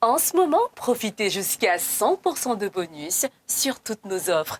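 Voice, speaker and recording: A woman's fairly high voice with very wide pitch swings, at a fairly slow pace, in a dry, close sound with no echo. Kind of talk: voice-over announcer.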